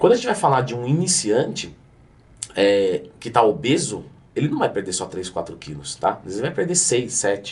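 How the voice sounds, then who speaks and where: A man with a Brazilian accent speaks in a somewhat breathy, medium-pitched voice that swings very widely in pitch. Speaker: fitness coach and youtuber. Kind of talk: educational explainer. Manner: fast.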